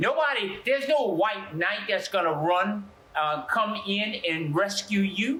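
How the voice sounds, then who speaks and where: A high-pitched man in a New Orleans accent uses a raised, projected voice with lively intonation. He speaks fairly slowly, with audible room echo. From US South, New Orleans. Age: 70s. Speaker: pastor. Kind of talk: interview testimony. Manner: halting, with frequent fillers and repeats.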